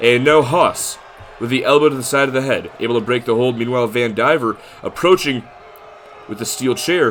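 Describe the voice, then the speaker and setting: Against noticeable background noise, a man speaks at medium pitch. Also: ordinary pitch variation, fairly quick pace. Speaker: video game wrestling streamer and commentator. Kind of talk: live play-by-play commentary of a simulated wrestling show. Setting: livestream. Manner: stuttering at times; animated.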